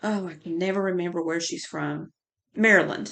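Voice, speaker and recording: A woman with a North Carolina accent, against a quiet background. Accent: Surry County country. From North Carolina, Surry County. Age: 50s. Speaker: podcaster. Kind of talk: casual chat. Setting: home. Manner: halting.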